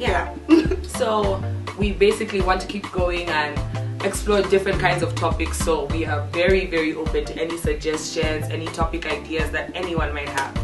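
Clear background music behind a woman's moderately paced voice. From Zambia. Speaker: podcast host. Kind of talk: casual talk to camera.

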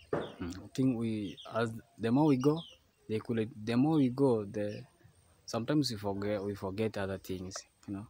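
Dark and mellow in tone, a man talks at a moderate pace, the sound dry with no echo and light background noise. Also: ordinary pitch variation. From Kenya. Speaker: travel vlogger. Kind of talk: casual vlog narration. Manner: animated. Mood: earnest, grateful.

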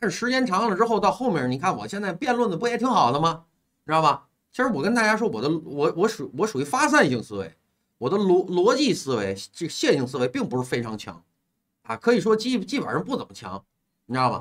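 A man with a high pitch and an animated tone speaks at a fairly quick pace, his pitch swinging very widely over a quiet background. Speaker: livestream host taking call-ins. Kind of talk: casual chat. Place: home room. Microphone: earbuds.

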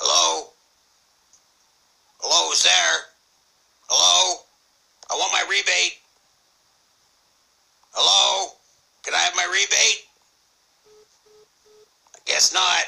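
A man's raspy put-on character voice at a fairly slow pace, broken by long, frequent pauses. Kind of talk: prank call. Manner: hesitant, stammering.

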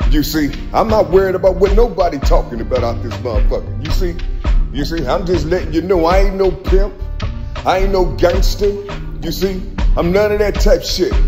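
Clear music plays behind a man who talks at a fairly quick pace. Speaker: self-filming vlogger. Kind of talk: casual spiritual monologue to camera. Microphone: phone near.

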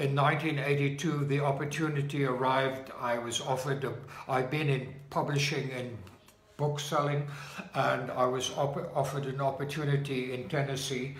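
Speaking in a South African accent, a man keeps a medium pitch with little pitch movement at a moderate pace. There is audible echo in the room.

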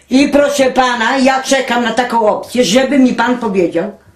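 Audible room echo surrounds a woman speaking at a high pitch and a moderate pace. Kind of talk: angry casual rant and phone call. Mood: indignant, angry, swearing. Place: home room. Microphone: camera far.

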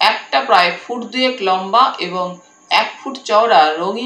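Natural-sounding reading aloud, pitch varying in an ordinary way

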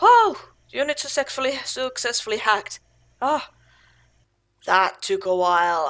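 A woman with a high voice speaks with long, frequent pauses. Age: 30s. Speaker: gamer. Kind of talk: let's play commentary. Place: home room.

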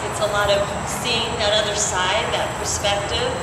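Over loud background noise and audible room echo, a woman with an American accent speaks at a fairly slow pace. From US Midwest. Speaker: rally speaker, straight ally. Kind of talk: rally speech. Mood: earnest, warm. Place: street.

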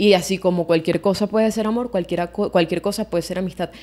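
In a Venezuelan accent, a woman talks with ordinary pitch variation. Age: 20s. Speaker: podcast co-host. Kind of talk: casual chat. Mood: reflective, personal. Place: home room. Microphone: studio mic.

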